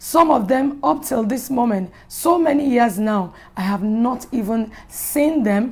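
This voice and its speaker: A woman with a high voice and lively intonation speaks at a fairly slow pace. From Nigeria (Yoruba). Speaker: pastor. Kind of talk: inspirational talk.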